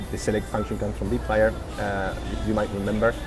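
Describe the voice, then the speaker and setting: A man against noticeable background noise. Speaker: data science instructor. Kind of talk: tutorial. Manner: halting.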